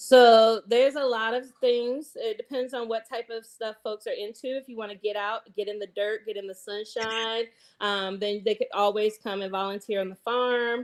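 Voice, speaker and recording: With a Southern accent, the voice keeps a moderate pace with hardly any pauses, fairly even intonation and big swings in loudness, on a very clean recording with a silent background. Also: woman, fairly high pitch for a woman. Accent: Southern, y'alls. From US South, Eastern North Carolina. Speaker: chef and community farmer. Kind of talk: podcast interview. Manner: casual, many filler words.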